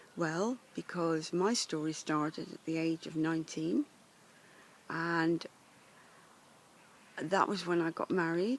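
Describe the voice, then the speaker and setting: Speech in an English accent, with ordinary pitch variation and a fairly slow pace. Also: woman. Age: 70s. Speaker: life coach. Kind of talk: personal introduction monologue. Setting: outdoors in woods.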